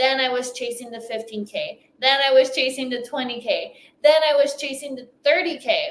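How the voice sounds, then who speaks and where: A woman with a slight French accent speaks at a moderate pace in a high voice with ordinary pitch variation. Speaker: business coach. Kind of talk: motivational talk.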